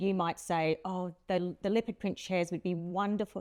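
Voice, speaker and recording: With a strong Australian accent, a woman speaks at medium pitch in a dry, close sound with no echo. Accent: broad Australian. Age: 50s. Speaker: podcast host. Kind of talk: interview. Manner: animated.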